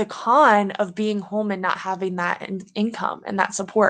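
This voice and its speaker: An unremarkable speaking voice moves along at a fairly slow pace. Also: woman. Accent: American. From US South, Louisiana. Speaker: podcast host, Paralympic snowboarder. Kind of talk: motivational monologue.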